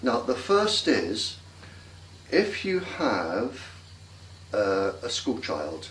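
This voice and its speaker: Speaking at a very slow pace with long, frequent pauses, a man swings his pitch very widely over noticeable background noise and audible room echo. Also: medium pitch for a man. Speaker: interviewee on microwave dangers. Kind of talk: interview.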